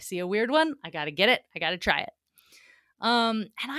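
In an American accent, a woman talks at a fairly quick pace with a fairly high pitch, a bright, sharp tone and vocal fry, the sound dry and close with no echo. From US South, Atlanta, Georgia. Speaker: circus acrobat and fitness entrepreneur. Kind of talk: casual interview chat.

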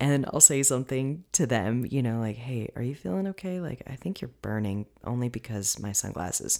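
Speaking at a moderate pace with hardly any pauses, a woman uses a very deep, low pitch. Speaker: fitness and nutrition coach, podcast host. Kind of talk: solo podcast monologue, educational talk. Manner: casual, chatty, laughs often.

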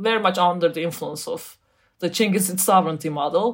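A woman speaks in a Turkish accent at a medium pitch. Her pitch variation is ordinary. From Turkey. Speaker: academic author. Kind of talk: interview. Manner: halting.

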